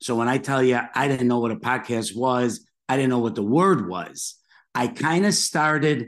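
A man with an American accent speaks in a normal speaking voice at medium pitch and a moderate pace. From Chicago, US. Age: 50s. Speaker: podcast host. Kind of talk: interview.

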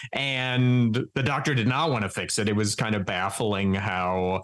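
A man speaks on a very clean recording with a silent background. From Wyoming. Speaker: comedian and writer. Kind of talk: casual chat.

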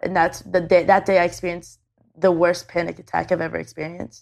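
Vocal fry marks this woman's fairly low voice in a Canadian accent. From Canada. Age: 20s. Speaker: YouTube video creator. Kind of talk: casual chat. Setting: on a couch in the same room as host.

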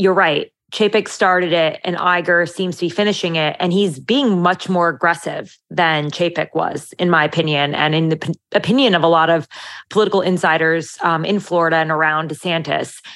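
Against a quiet background, a woman speaks in a plain, everyday voice with a fairly low pitch and ordinary pitch variation. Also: moderate pace. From Italian American. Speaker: political journalist. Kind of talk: casual chat.

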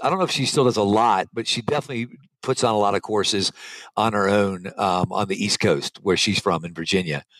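Dry and close with no echo, a man's unremarkable speaking voice moves at a fairly quick pace, fairly low in pitch with ordinary variation. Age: 50s. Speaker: mountain bike skills instructor. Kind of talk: interview.

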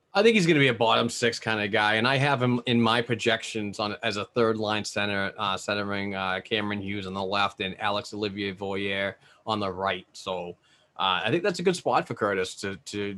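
The recording is very clean, with a silent background. A man with a New England accent speaks at a fairly low pitch. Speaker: hockey podcaster and prospects analyst. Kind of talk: casual chat.

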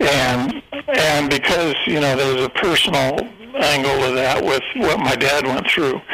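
The man speaks at a fairly slow pace, with audible room echo and noticeable background noise. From US Midwest, eastern Kansas. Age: 70s. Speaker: true crime author and journalist. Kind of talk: interview.

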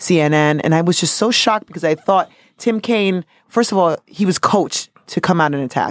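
A woman with a New York accent talks fairly quickly in an animated tone, her fairly low pitch showing ordinary variation. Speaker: podcast co-host. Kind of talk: casual chat. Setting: studio.

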